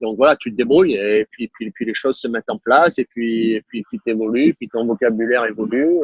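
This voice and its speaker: A man talks at a moderate pace. His pitch sits in the medium range and varies in an ordinary way. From southern France, Var (Toulon area). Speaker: tennis coach, former pro player. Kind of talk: interview conversation. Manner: hesitant, many fillers and repetitions.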